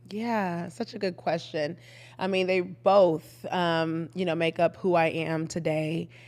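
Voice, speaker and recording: Spoken with an American accent at a fairly slow pace, the voice keeps a fairly even intonation. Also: woman, fairly low pitch for a woman. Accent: slight Texan and Caribbean twang. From Austin, Texas (Old East Austin); Trinidadian parents. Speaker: community leader, entrepreneur and author. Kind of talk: casual interview.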